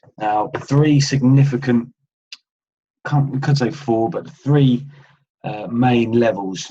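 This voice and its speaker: A man's somewhat breathy voice, its pitch varying in an ordinary way. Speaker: trading educator. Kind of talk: tutorial. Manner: hesitant with fillers.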